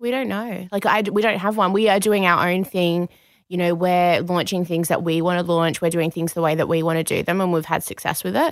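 Over a very clean recording with a silent background, a woman with an Australian accent and a fairly low pitch talks at a fairly quick pace with fairly even intonation. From Perth, Western Australia. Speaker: activewear brand co-owner. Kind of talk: interview.

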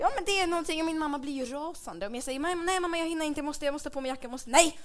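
Talking at a very fast pace in an animated tone, a woman is heard with audible room echo. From Dalarna, Sweden. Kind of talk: comedic live podcast chat. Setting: live stage with audience.

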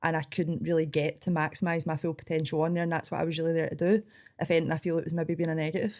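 With a strong Scottish accent, a woman talks very fast in a fairly low, monotone, flat voice, recorded very cleanly against a silent background. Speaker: coffee shop owner and cooking show contestant. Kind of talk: interview conversation.

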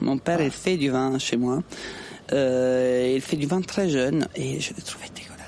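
A woman's very deep, low voice at a fairly slow pace, with ordinary pitch variation and noticeable background noise. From southern Italy (Puglia). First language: Italian (speaking French). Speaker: cook. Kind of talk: casual chat.

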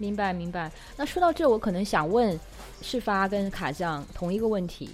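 A woman's medium-pitched voice with lively intonation over background music. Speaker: podcast host. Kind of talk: casual interview chat. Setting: remote recording.

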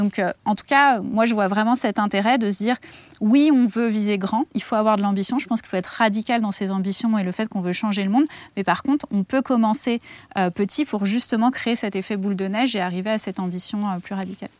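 A woman with an ordinary speaking voice talks at a fairly high pitch and a fairly quick pace, with ordinary pitch variation. The recording is very clean, with a silent background and a dry, close sound with no echo. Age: 30s. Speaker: activist, head of a petition platform. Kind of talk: interview.

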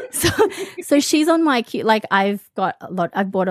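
Lively-toned woman in an Australian accent, dry, close sound with no echo, very clean recording with a silent background. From Australia (from early teens), born in the Philippines. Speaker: romance book blogger and podcaster. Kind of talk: casual chat.

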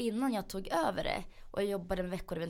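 A woman's fairly low voice with vocal fry. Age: 20s. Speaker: magazine editor and business owner. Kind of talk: interview.

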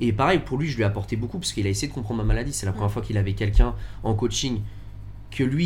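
A man talking at a very fast pace amid audible room echo. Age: 20s. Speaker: business owner with chronic illness. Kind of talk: casual chat. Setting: in a bar.

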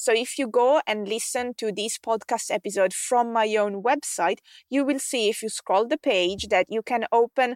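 Speaking in an Italian accent, a woman talks at a moderate pace with a fairly high pitch, recorded very cleanly against a silent background with a dry, close sound and no echo. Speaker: podcast host and tech expert for online coaches. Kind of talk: solo podcast monologue, scripted-style tutorial.

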